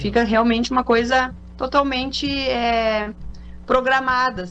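Music is playing behind the voice. The speaker is a woman. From Porto Alegre, southern Brazil. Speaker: olive oil producer. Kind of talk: radio interview. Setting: radio studio.

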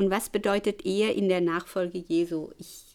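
A woman uses a normal speaking voice at a medium pitch. Her intonation is fairly even. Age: 60s. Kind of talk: testimony.

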